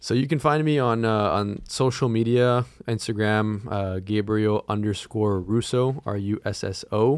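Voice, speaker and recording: A man with an American accent has a normal speaking voice, fairly low in pitch, with ordinary pitch variation. The recording is very clean, with a silent background. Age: 20s. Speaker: young entrepreneur and podcast co-host. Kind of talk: casual interview.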